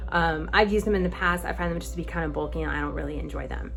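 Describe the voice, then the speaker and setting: A woman talks at a very fast pace. Noticeable background noise and audible room echo surround her. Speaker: vlogger answering viewer questions. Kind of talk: casual Q&A vlog. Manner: chatty, informal.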